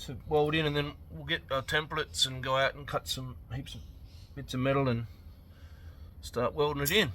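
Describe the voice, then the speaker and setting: A man talks with an Australian accent. His speech has long, frequent pauses. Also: moderate pace. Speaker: car restoration youtuber. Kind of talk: casual workshop vlog. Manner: quiet.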